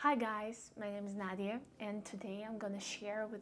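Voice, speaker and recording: In a Russian accent, a woman talks at a medium pitch with audible room echo around her. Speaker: vlogger. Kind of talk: casual vlog talk. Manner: halting, many fillers.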